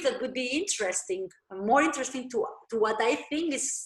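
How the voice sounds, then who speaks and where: A woman is speaking here. Her pace is fairly slow. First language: not English. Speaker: dancer and dance teacher. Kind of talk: interview. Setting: video call. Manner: halting.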